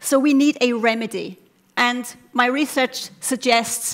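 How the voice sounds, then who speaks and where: In a high pitch, a woman speaks with ordinary pitch variation. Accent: non-native. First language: not English. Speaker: doctoral researcher. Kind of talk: competition talk. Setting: stage with audience. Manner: animated.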